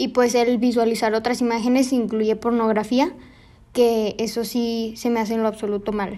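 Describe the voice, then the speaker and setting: With a dark, mellow tone, a woman speaks at a moderate pace and fairly high pitch in a flat monotone. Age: 40s. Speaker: nun. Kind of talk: panel discussion.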